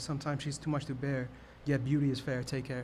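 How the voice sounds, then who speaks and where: With an American accent, a man speaks in a fairly high, somewhat breathy, monotone and flat voice, with audible room echo. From New York, the Bronx. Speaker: open mic poet. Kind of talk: poetry performance. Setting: stage with audience. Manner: stammering.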